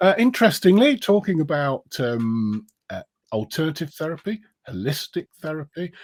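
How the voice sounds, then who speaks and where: A man with a British accent talks at a fairly high pitch, his voice swinging very widely in pitch and greatly in loudness. The sound is dry and close, with no echo. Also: moderate pace. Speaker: live stream interview host. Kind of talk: casual interview. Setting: Facebook live stream.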